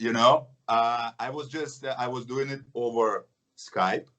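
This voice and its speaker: A man's medium-pitched voice comes with a Russian accent. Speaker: action film actor. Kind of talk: interview.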